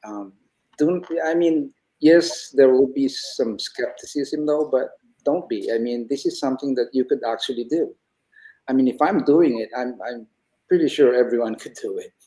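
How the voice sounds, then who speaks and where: This man has an ordinary speaking voice, a fairly high pitch, ordinary pitch variation and a moderate pace. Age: 60s. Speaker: retiree turned online entrepreneur. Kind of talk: interview conversation.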